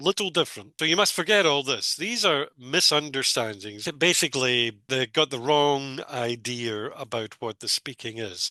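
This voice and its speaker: A man talks with hardly any pauses, his voice fairly high with lively intonation. The tone is bright and sharp. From Scotland. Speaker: English teacher, former exam examiner. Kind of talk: tutorial. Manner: slow.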